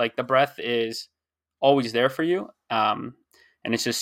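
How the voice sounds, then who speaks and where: A man with an American accent talks at a medium pitch and a fairly quick pace. He has an ordinary speaking voice, and the recording is very clean with a silent background. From United States from age six, French parents. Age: 20s. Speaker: author. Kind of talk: casual chat.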